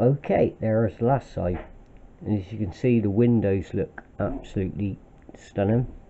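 This man's voice sits fairly low and moves at a moderate pace. His pitch varies in an ordinary way, with light background noise behind him. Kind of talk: casual hobby show-and-tell. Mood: pleased, relaxed. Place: kitchen. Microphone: phone near.

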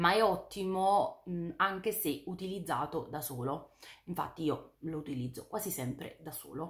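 A somewhat breathy woman's voice of fairly low pitch, fairly slow in pace, with ordinary pitch variation and a quiet background. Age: 30s. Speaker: beauty YouTuber. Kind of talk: product review vlog. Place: home room.

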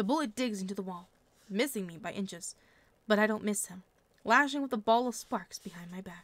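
Plain read-aloud delivery, pitch varying in an ordinary way

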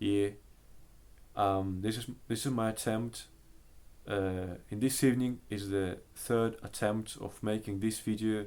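A speaker with an eastern Polish accent talks at a very slow pace with monotone, flat intonation and long, frequent pauses. The recording is very clean, with a silent background. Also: man, fairly low pitch for a man. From Russia. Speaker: language learner. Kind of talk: casual talk to camera.

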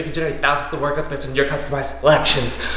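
A man is heard with audible room echo. There is light background noise. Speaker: fitness trainer. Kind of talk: workout tutorial and outro vlog chat. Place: gym.

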